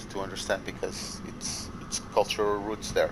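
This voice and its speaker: Over noticeable background noise, a man talks at a moderate pace with a fairly low pitch. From Portugal. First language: Portuguese. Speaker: gamer. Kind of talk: heated debate.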